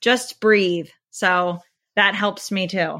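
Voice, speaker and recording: A woman with an American accent speaks at a fairly slow pace in a bright, sharp tone. The recording is very clean, with a silent background. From Pennsylvania, near Harrisburg. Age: 40s. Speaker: teacher. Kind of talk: casual chat.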